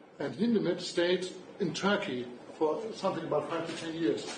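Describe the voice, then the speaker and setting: A man with a German accent and a high pitch speaks amid noticeable background noise and audible room echo. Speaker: music publishing executive. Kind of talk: lecture.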